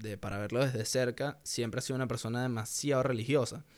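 On a very clean recording with a silent background, a man speaks with a Venezuelan accent. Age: 20s. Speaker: podcaster. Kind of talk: casual monologue.

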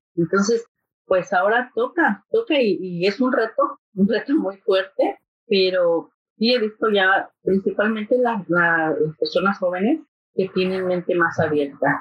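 With a normal speaking voice at medium pitch, a woman speaks at a fairly slow pace with lively intonation and very even loudness. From Mexico City. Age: 50s. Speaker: mental health navigator. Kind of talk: casual interview. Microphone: poor audio quality.

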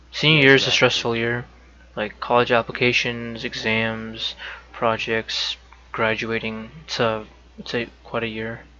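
Monotone, flat male voice at medium pitch and a fairly slow pace, over noticeable background noise. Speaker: stream host. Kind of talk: casual group chat about anxiety. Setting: live stream with chat.

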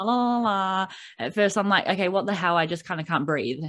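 Against a quiet background, someone with a New Zealand accent talks at a fairly quick pace. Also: woman. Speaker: podcast host. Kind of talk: casual interview; podcast intro.

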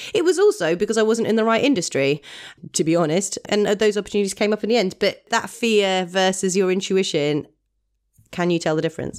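Speaking at a fairly quick pace, a woman with a British accent uses a medium pitch and ordinary pitch variation. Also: very even loudness. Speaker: burlesque performer and podcast co-host. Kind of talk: casual chat. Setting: video call. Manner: laughs a lot.

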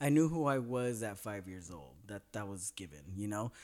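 An ordinary speaking voice from a man with an American accent and lively intonation, on a very clean recording with a silent background. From Northern California. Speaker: special education teacher. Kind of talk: casual chat.

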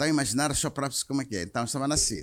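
A man's voice with vocal fry. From Mozambique. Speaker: insurance executive. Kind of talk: interview. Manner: halting.

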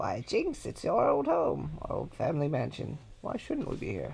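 A man's put-on character voice with very wide pitch swings and vocal fry, slightly mellow in tone, at a moderate pace. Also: fairly high pitch for a man.

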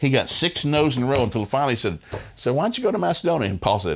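The speech comes at a very fast pace with very wide pitch swings. Vocal fry runs through it. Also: man. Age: 60s. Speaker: family ministry speaker. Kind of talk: interview.

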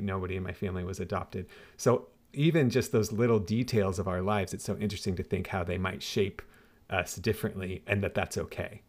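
With an American accent, a man speaks at a very fast pace and with fairly even intonation on a very clean recording with a silent background. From US Pacific Northwest. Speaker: campus pastor, podcast host. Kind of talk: interview.

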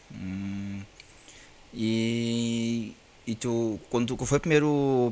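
A man talks at a medium pitch. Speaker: podcast host. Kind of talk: interview. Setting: video call. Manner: halting.

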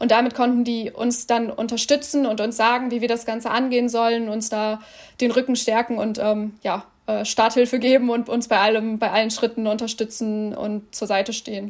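A woman with fairly high pitch speaks in monotone, flat intonation. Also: moderate pace. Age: 20s. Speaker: trainee journalist. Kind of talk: casual interview.

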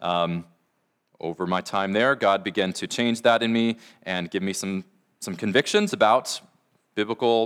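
The recording is very clean with a silent background as a man speaks at a moderate pace with ordinary pitch variation in a normal speaking voice. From US Pacific Northwest (Washington). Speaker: pastor. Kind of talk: sermon.

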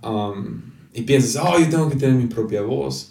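With lively intonation and medium pitch, a man speaks amid noticeable background noise and audible room echo. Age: 20s. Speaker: pastor. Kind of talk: casual chat. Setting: home office.

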